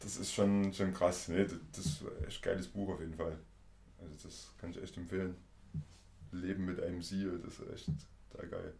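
With vocal fry and a very deep, low pitch, a man speaks at a moderate pace with fairly even intonation, big swings in loudness, long and frequent pauses, and audible room echo. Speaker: podcast host. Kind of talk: casual interview. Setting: visiting guest in person.

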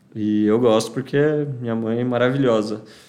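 Audible room echo fills the space. The voice is a man's. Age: 20s. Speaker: guest, adoptee sharing his story. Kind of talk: casual chat. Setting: at a friend's house, informal home recording.

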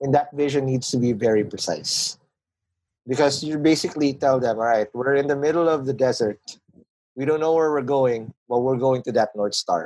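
A man speaks with a Filipino accent. His pitch sits at a medium level. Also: ordinary pitch variation, moderate pace. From Philippines, Manila. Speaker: podcast founder and business guest. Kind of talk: casual interview chat about business.

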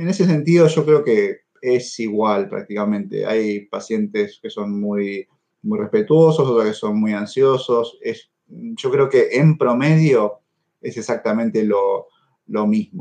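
The speaker has a dark, mellow tone, moving at a very slow pace with very wide pitch swings. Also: man, medium pitch for a man. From Argentina. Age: 30s. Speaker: neurosurgeon. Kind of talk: interview. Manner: halting, with frequent fillers and repetitions.

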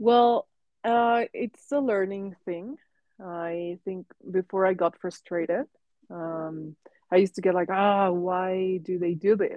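This woman speaks at a fairly slow pace with a medium pitch and ordinary pitch variation. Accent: Spanish. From Mexico. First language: Spanish. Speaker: artist. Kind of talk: casual chat. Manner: halting.

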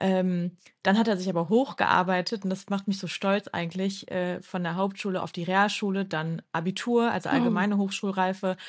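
A normal speaking voice at a moderate pace, with fairly even intonation and hardly any pauses. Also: woman, medium pitch for a woman. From Düsseldorf, Germany. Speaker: podcast co-host. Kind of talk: casual chat. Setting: at home, remote recording.

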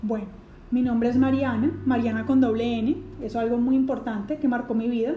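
Audible room echo surrounds a dark, mellow tone moving at a fairly quick pace with fairly even intonation. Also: woman, high pitch for a woman. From Colombia. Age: 20s. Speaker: podcast host, psychologist. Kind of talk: casual monologue. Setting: at home.

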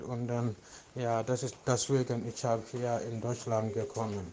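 A man's medium-pitched, dark, mellow voice, monotone and flat in intonation, at a fairly slow pace, with a non-native accent. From Gambia. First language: not German (speaking German). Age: 30s. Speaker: refugee interviewee, sports trainer. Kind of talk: interview. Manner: halting.

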